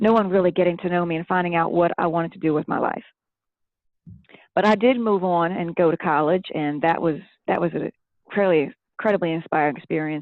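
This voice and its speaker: A woman speaks at a fairly quick pace with a slight Southern US accent. Her pitch sits fairly low. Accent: southern-tinged. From Philadelphia area, Pennsylvania, family from Tennessee. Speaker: children's book author and former teacher. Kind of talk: interview testimony.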